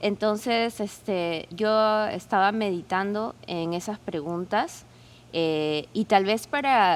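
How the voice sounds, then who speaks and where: A woman speaks at a very slow pace. Her voice sits at a medium pitch with ordinary variation. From Peru. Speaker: podcast co-host asking questions. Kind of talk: casual interview chat.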